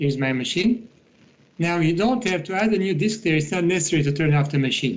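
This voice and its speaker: Speaking at a very fast pace with lively intonation, a man with a high-pitched voice is heard in a room with audible echo. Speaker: IT instructor. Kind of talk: tutorial.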